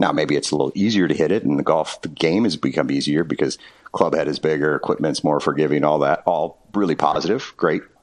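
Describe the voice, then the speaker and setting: Over noticeable background noise, a man with a very deep, low pitch talks at a very fast pace in an American accent, with ordinary pitch variation. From Wisconsin. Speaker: golf course architect. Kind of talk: interview.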